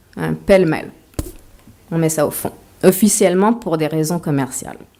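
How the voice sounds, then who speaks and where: Moderate-paced speech from a woman, fairly low-pitched, with ordinary pitch variation. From Quebec, Montreal. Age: 40s. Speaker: author. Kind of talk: lecture.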